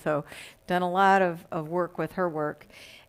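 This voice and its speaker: Against a silent background in a very clean recording, a woman with a Texas accent speaks at a moderate pace. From Texas, Dallas. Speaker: guest minister. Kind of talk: sermon.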